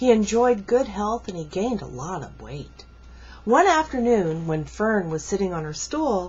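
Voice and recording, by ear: Lively intonation runs through text read aloud in a natural voice.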